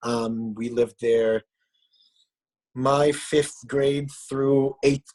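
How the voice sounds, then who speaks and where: A man with an Israeli accent at a very slow pace, fairly even in intonation, with a dry, close sound and no echo. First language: Hebrew. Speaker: musician. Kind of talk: casual chat. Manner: halting.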